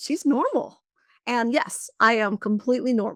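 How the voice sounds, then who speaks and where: With ordinary pitch variation, a woman speaks at a high pitch in a dry, close recording with no echo. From military family, grew up abroad (Germany, Panama, Spain). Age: 50s. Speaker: chief financial officer. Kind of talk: podcast interview. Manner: animated.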